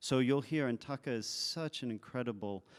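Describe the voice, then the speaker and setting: On a very clean recording with a silent background, a man speaks with a French accent. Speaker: composer. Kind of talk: onstage interview. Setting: stage with audience.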